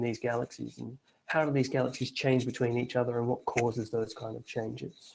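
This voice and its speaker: With an Australian accent, this man talks at a very fast pace in a medium-pitched voice, his dark, mellow tone held to a flat monotone. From Australia, Victoria. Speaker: astronomer. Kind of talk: lecture.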